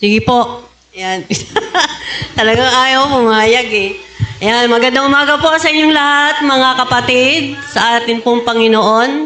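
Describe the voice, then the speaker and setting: Very slow speech with ordinary pitch variation and audible room echo. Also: woman. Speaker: preacher. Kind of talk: sermon.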